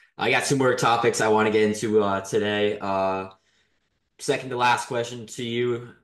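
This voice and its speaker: In a room with audible echo, a man speaks at a moderate pace with long, frequent pauses. His voice is fairly low, with fairly even intonation. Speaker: podcast host. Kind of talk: interview. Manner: halting.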